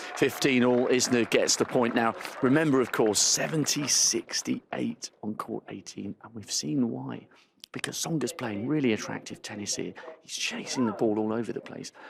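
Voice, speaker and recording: A quiet man's voice at a moderate pace, with big swings in loudness and noticeable background noise. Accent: British. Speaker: courtside tennis reporter. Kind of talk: live commentary. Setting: courtside in a stadium crowd. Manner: speaking quietly.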